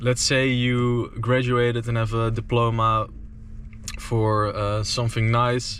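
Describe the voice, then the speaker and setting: A man talks in a Dutch accent at medium pitch. Noticeable background noise runs underneath. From Netherlands. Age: 20s. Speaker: entrepreneur vlogger. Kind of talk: casual vlog monologue. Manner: slow, hesitant with fillers.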